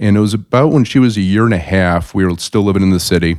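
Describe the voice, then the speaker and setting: Very deep and low in pitch, a man speaks in a Midwestern American accent on a very clean recording with a silent background. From US Midwest, South Bend, Indiana. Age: 40s. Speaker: financial advisor. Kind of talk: interview.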